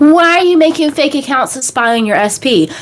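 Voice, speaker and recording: A fairly slow, animated voice with an American accent and very wide pitch swings, over noticeable background noise. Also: woman. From United States. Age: 30s. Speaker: manifestation coach. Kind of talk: live stream Q&A. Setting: live stream.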